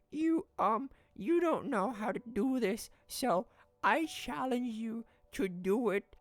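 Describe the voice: A female-sounding, put-on character voice, fairly high for a woman, at a fairly slow pace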